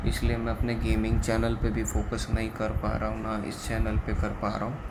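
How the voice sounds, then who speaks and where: The speaker is a man. Noticeable background noise and audible room echo come through. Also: moderate pace. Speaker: tech product reviewer. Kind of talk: product review. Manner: hesitant with many fillers.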